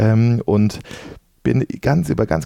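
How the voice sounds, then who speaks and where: A man talks in a dark, mellow tone. His pitch varies in an ordinary way. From Dortmund, Ruhr area, Germany. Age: 40s. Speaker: venture capital investment manager. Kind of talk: podcast interview.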